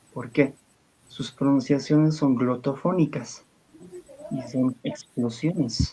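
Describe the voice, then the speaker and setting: A man speaks in a medium pitch with an Andean accent. His intonation is fairly even and his pace very slow. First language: Aymara (speaking Spanish). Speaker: liturgical language expert. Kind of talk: interview.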